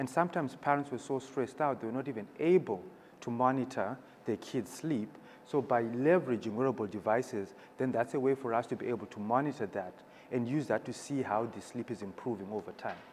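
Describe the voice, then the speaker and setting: At a fairly quick pace, a man speaks in a medium pitch with a non-native accent. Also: ordinary pitch variation. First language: not English. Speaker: startup founder. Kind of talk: panel presentation.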